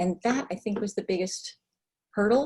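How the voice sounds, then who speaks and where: A woman speaks at a fairly slow pace in a dark, mellow tone. Her voice is somewhat breathy, with lively intonation. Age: 60s. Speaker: weight loss client giving testimonial. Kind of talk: interview testimony. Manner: hesitant with many fillers.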